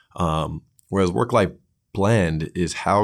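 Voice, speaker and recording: The pace is fairly slow, and the intonation is fairly even. The recording is very clean, with a silent background. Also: man. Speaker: podcast host. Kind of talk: casual chat. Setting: studio.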